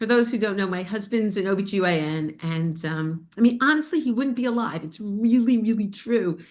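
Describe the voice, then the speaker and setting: A woman with an American accent speaks at a fairly quick pace with hardly any pauses, her pitch medium and her intonation lively. It is a plain, everyday voice. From New York, Spring Valley area. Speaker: bone health educator and podcast host. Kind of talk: casual chat with live webinar audience.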